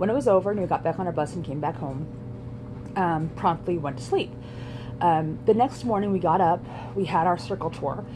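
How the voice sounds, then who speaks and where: Fairly low-pitched and fairly quick, a woman speaks with long, frequent pauses amid noticeable background noise and audible room echo. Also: lively intonation. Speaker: vlogger. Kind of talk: casual vlog monologue. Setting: in a garage. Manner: fast.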